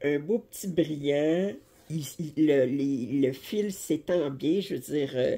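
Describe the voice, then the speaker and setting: A woman's very deep, low voice with a dark, mellow tone, vocal fry, lively intonation and a Quebec accent. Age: 60s. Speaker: cross-stitch YouTuber. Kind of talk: casual chat and tutorial. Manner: halting. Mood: relaxed, chatty. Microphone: phone near.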